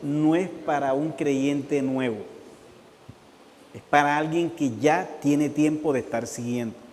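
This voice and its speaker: Amid audible room echo, a man speaks very slowly at a fairly high pitch with ordinary pitch variation. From Colombian Caribbean coast. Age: 60s. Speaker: pastor. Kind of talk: sermon.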